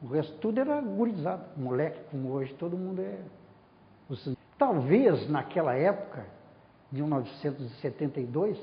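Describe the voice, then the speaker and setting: A man's somewhat breathy voice, fairly high in pitch, at a moderate pace with long, frequent pauses and very wide pitch swings. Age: 70s. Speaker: former university student and staff member. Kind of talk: oral history interview. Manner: animated.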